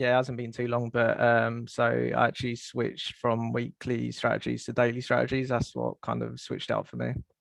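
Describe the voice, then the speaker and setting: A man with a British accent talks at a fairly quick pace with hardly any pauses. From England, near London. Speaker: trader and success coach. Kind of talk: interview on group call. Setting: group call.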